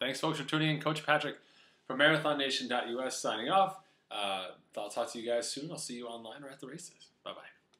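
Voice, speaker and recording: Audible room echo follows a man whose bright, sharp voice moves at a fairly quick pace. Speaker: running coach. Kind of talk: casual advice vlog. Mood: friendly, encouraging. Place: kitchen. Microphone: webcam.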